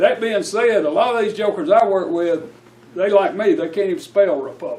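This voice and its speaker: Against noticeable background noise, a man with an Alabama accent speaks at a moderate pace in a high pitch with very wide pitch swings. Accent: US Southern, Alabama. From Alabama, Etowah County. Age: 60s. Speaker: labor union leader. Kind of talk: keynote speech.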